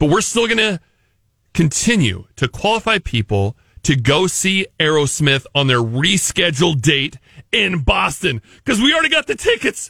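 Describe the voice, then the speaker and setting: A man speaks with vocal fry and a bright, sharp tone at a fairly high pitch, his pitch swinging very widely while his loudness stays very even. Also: moderate pace. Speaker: radio host. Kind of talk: casual radio banter. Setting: studio.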